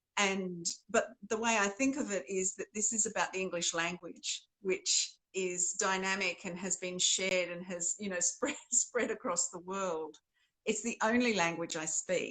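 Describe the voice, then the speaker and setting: The speaker has an Australian accent and a bright, sharp tone. The pace is fairly slow. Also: woman, medium pitch for a woman, ordinary pitch variation. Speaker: novelist. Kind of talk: interview conversation.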